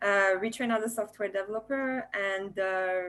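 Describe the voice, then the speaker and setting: A woman speaks in a French accent at a medium pitch, her intonation fairly even. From France. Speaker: software developer, former nurse. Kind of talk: panel discussion. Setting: video webinar.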